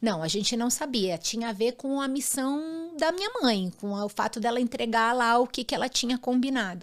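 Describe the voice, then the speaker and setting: On a very clean recording with a silent background, a high-pitched woman speaks at a moderate pace with lively intonation and hardly any pauses. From grew up abroad in six countries. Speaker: former actress and image consultant. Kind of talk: interview.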